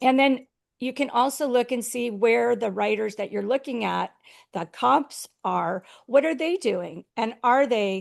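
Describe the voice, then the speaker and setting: Pitched high for a woman, her voice moves at a fairly slow pace with ordinary pitch variation. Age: 60s. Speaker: author marketing consultant. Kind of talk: interview on a panel webinar.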